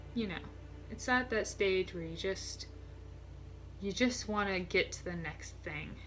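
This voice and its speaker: Speaking at a fairly slow pace, a woman leaves long, frequent pauses while her loudness swings widely, with noticeable background noise and audible room echo. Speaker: vlogger and aspiring writer. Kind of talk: casual vlog chat. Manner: stuttering, halting.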